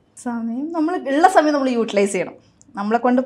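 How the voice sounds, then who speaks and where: High-pitched female speech full of lively intonation. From Kerala, India. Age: 40s. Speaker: hockey goalkeeper and coaching faculty coordinator; coaching faculty coordinator. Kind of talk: interview. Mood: warm, smiling. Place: studio. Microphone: lapel.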